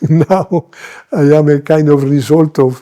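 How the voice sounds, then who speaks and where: A man with a Spanish accent speaks at a fairly high pitch in a dark, mellow tone. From Colombia, Medellín. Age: 80s+. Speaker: missionary bishop. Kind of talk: interview. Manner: halting.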